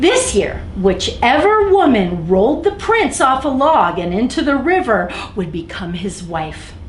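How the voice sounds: A woman speaks at a fairly slow pace and a fairly high pitch, with big pitch swings. Room echo is audible.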